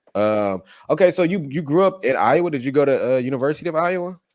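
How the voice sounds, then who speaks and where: A man is speaking. His pace is fairly quick. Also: big swings in loudness. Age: 30s. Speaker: podcast host. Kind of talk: casual chat. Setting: podcast.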